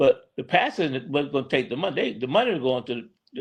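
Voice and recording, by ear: A man speaks at a fairly quick pace. His fairly high voice carries a slightly husky edge.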